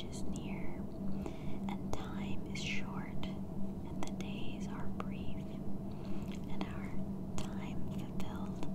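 A whispered voice over noticeable background noise. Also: hardly any pauses. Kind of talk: whispered reading of an ancient religious text. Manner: whispered, soft.

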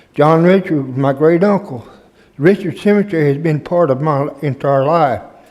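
This male speaker's voice sits fairly high, and he talks at a middling speed. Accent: Southern US. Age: 70s. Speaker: retired firefighter. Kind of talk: public comment.

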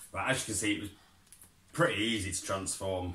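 A man talks with a very deep, low pitch and fairly even intonation. Audible room echo and light background noise are present. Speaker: parent toy reviewer. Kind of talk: casual toy review chat. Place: home room. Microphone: camera far.

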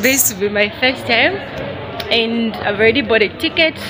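Music plays in the background. A woman speaks with ordinary pitch variation. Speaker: travel vlogger. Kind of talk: casual vlog chat. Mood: excited, smiling. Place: street. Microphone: phone near.

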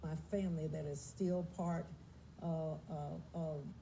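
Over light background noise, a woman with a fairly low pitch speaks in a monotone, flat way. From United States. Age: 70s. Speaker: singer. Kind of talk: TV interview answer. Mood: calm, earnest. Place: studio.

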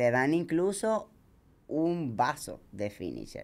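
A woman speaks with a non-native accent and lively intonation. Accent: foreign lilt kept from childhood country. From Dominican Republic (from age seven). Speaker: ultramarathon runner; podcast guest. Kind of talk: casual chat. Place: studio. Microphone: studio mic.

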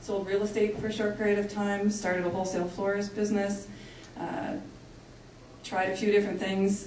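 A woman talks at a fairly quick pace in a monotone, flat intonation, leaving long, frequent pauses. Audible room echo and light background noise surround her voice. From Canada. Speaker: engineering company leader. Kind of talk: panel presentation. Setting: stage with audience. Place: hall.

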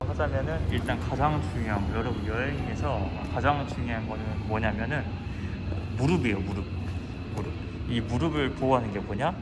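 A man talks at a moderate pace, leaving long, frequent pauses. Loud background noise runs underneath. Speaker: medical intern. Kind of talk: casual talk to camera. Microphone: phone near.

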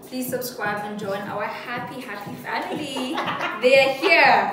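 A woman at a moderate pace, with noticeable background noise and audible room echo. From Botswana. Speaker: YouTuber. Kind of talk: casual talk to camera. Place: kitchen.

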